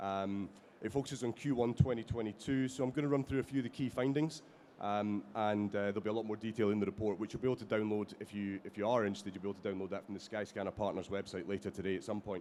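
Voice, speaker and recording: A very fast-talking man with a Scottish accent and a dark, mellow tone. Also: ordinary pitch variation. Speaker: company executive, panelist. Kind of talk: conference panel presentation. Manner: halting, many fillers.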